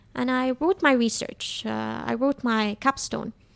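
A woman's high-pitched, fairly slow voice on a very clean recording with a silent background, dry and close with no echo. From Dubai, UAE (Palestinian family). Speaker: journalist. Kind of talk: casual interview.

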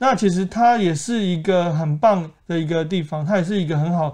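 A man's high-pitched voice, dark and mellow in tone, at a fairly quick pace over a quiet background. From Taiwan, Keelung. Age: 20s. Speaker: real estate agent. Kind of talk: casual interview.

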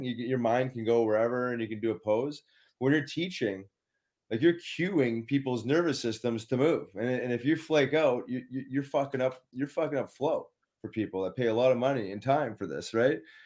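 A man with a Canadian prairie accent speaks at a medium pitch with ordinary pitch variation. The recording is very clean, with a silent background. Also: moderate pace. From Winnipeg, Manitoba, Canada. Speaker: former pro hockey player, wellness advocate. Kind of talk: casual interview chat.

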